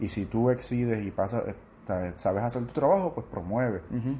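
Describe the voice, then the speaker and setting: At a fairly quick pace, a man speaks at medium pitch in a dark, mellow, somewhat breathy tone with ordinary pitch variation. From Puerto Rico, Orocovis (central mountains). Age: 20s. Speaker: soldier. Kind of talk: interview.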